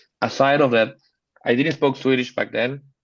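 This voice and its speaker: With a Spanish accent, this man talks at a fairly quick pace in a medium pitch, his intonation monotone and flat. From Panama. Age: 30s. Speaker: photographer. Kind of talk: casual chat. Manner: halting.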